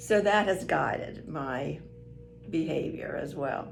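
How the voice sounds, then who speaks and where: A woman speaks with music playing in the background. Room echo is audible. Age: 70s. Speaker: retired grandmother being interviewed. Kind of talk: casual interview. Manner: hesitant with repeated words.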